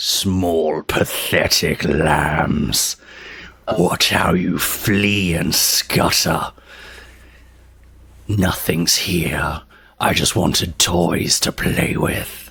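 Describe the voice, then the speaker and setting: A man uses a put-on character voice, growling in a very deep, low pitch with a menacing tone. He speaks at a very slow pace with long, frequent pauses and fairly even intonation. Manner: menacing, taunting.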